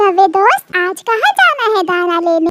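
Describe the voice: In a cartoonish character voice, a female-sounding speaker squeaks along at an extremely high pitch and a fairly slow pace.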